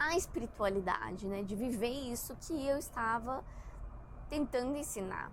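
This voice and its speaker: A woman's high-pitched voice at a fairly slow pace, lively in intonation, with audible room echo. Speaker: spiritual content creator. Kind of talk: casual monologue. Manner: halting.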